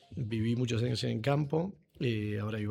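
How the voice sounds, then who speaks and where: On a very clean recording, the background is silent. A man talks at a medium pitch in a dark, mellow tone. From Buenos Aires, Argentina (San Isidro). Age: 40s. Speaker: agronomist, company CEO. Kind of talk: podcast interview.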